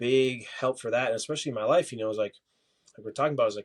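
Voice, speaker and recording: A man speaks with an American accent at a medium pitch and fairly even intonation. The sound is dry and close, with no echo. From Minnesota. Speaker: mixed martial arts fighter. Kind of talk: podcast interview.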